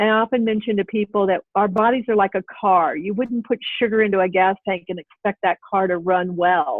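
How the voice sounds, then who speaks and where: A woman with an American accent speaks in a plain, everyday voice at a medium pitch. She moves at a fairly quick pace with hardly any pauses and ordinary pitch variation. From US, military family. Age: 60s. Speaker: health coach and author. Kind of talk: interview conversation.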